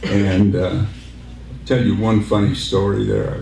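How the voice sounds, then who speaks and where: A man speaks at a fairly low pitch. Noticeable background noise and audible room echo surround his voice. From Southern California (Santa Monica), born Salt Lake City. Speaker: war veteran. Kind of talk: speech. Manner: halting.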